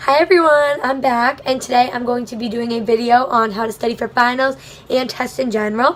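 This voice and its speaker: A woman's high-pitched voice at a fairly quick pace, with fairly even intonation. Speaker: college student vlogger. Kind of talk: casual vlog tutorial. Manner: fast.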